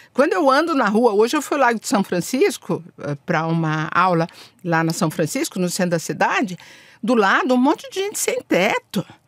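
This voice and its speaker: A woman's voice moves through very wide pitch swings. The sound is dry and close, with no echo. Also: fairly high pitch for a woman, moderate pace. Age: 60s. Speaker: diplomat. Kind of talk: podcast interview. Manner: animated.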